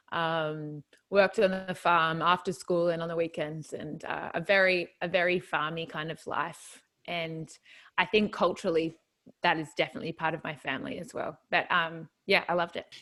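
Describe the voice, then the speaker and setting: A woman with an Australian accent, fairly low in pitch, bright and sharp in tone, at a moderate pace, her intonation fairly even but her loudness swinging widely, on a very clean recording with a silent background. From rural New South Wales, Australia. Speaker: country singer-songwriter. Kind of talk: casual interview.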